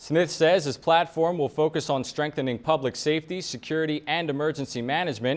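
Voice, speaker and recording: Against a quiet background, a man with an unremarkable speaking voice talks at a fairly quick pace in a fairly high register. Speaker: television news anchor. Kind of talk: TV news anchor read.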